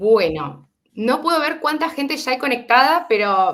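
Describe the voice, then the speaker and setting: A woman speaks with an Argentine accent, her tone bright and sharp. Her pitch swings very widely. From Argentina. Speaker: webinar host. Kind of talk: online webinar introduction. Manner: hesitant, many fillers.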